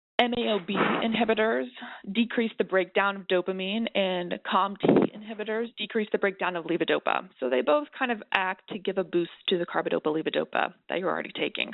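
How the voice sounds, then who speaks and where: Fairly quick talk with hardly any pauses from a woman with a normal speaking voice, medium pitch and lively intonation. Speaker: neurologist. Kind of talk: expert panel discussion, webinar.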